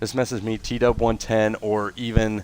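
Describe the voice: This man's voice is nasal and fairly low-pitched, with little pitch movement.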